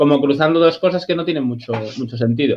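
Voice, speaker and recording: Against a quiet background, a man talks at a very fast pace with lively intonation. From Galicia, A Coruña. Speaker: channel subscriber and football fan panelist. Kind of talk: casual chat. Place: home room. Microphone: video call.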